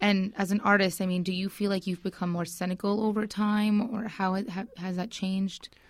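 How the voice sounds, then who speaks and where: Barely pausing, a woman talks at a fairly quick pace and medium pitch with monotone, flat intonation over noticeable background noise. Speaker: radio show co-host. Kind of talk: casual interview. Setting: studio.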